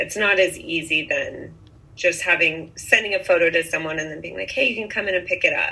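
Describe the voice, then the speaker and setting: Noticeable background noise sits behind a woman with an American accent who talks at a fairly quick pace with big swings in loudness. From US Pacific Northwest, Bainbridge Island near Seattle. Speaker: boutique owner. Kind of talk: interview.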